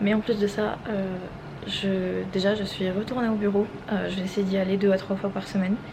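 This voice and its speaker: A soft-spoken voice at a moderate pace, monotone and flat in intonation, over noticeable background noise. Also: woman, medium pitch for a woman. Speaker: vlogger. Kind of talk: casual vlog.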